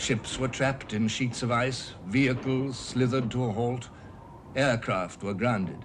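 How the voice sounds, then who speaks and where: A man speaks at a fairly slow pace with a medium pitch and fairly even intonation. His voice is somewhat breathy. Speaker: narrator. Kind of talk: documentary narration.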